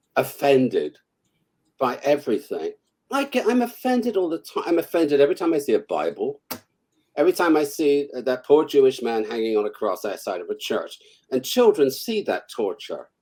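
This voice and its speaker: A man with a British accent talks at a moderate speed. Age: 70s. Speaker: author. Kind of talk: casual interview chat. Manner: animated.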